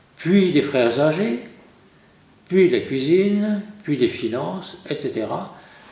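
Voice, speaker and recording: A man talks very slowly with lively intonation. Audible room echo surrounds his voice. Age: 80s+. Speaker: Dominican priest and retired lecturer. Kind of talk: lecture.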